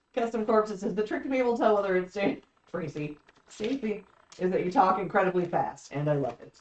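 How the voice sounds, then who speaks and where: The speaker moves at a fairly quick pace, stopping for long, frequent pauses. Loudness swings widely from moment to moment. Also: woman. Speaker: live stream co-host. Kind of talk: casual live chat reading comments. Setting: live stream. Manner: fast.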